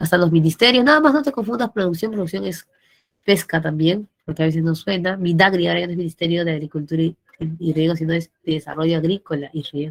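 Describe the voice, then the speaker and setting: Her pitch fairly low and ordinarily varied, a woman talks very fast in a dry, close sound with no echo. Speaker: pre-university teacher. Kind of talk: online class lecture.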